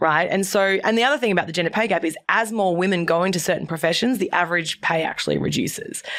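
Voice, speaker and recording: Talking at a very fast pace with hardly any pauses, a woman with a strong Australian accent and medium pitch keeps a very even loudness, ordinary pitch variation and an animated tone over noticeable background noise. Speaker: entrepreneur and former journalist. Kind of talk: podcast interview.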